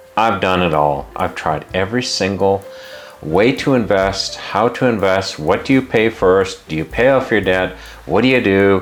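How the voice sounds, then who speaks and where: Over noticeable background noise, a man speaks in an animated tone. His voice is fairly low, with ordinary pitch variation. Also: moderate pace. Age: 50s. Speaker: personal finance YouTuber. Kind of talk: opinionated advice monologue.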